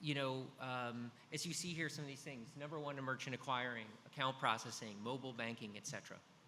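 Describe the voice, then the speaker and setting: Audible room echo around a man talking at a very fast pace with fairly even intonation. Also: medium pitch for a man. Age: 50s. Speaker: business executive, data analytics. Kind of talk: conference presentation. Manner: frequent fillers (um, uh).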